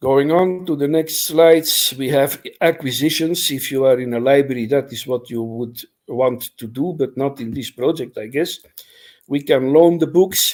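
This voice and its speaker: A man speaks in a plain, everyday voice, pitched fairly high, at a moderate pace. His pitch varies in an ordinary way while his loudness swings widely. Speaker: library software developer. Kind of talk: technical presentation.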